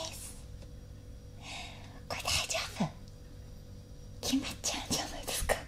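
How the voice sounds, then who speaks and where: Whispering, a woman speaks at a moderate pace. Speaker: ASMR YouTuber. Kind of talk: casual ASMR eating talk. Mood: cheerful, playful. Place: home room.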